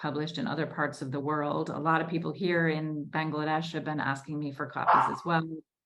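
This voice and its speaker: Audible room echo surrounds a woman whose very deep, low voice moves at a moderate pace. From US Northeast, Newton, Massachusetts. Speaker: debut novelist. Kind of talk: Q&A at a virtual book launch.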